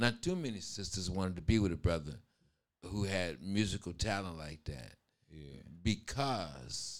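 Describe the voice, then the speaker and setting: With a very deep, low pitch, this man talks at a moderate pace using lively intonation, vocal fry, and big swings in loudness. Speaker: host's father, guest. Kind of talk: casual chat.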